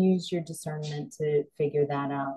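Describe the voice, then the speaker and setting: Against a quiet background, a woman speaks at a very deep, low pitch with fairly even intonation. Her tone is dark, mellow and gentle, and somewhat breathy. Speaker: psychic and spiritual coach. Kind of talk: slow guided grounding meditation with visualization cues. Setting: solo video recording. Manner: soothing, unhurried, flowing run-on phrasing; gentle with frequent um and uh fillers. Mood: calm, gentle. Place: home room. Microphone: webcam.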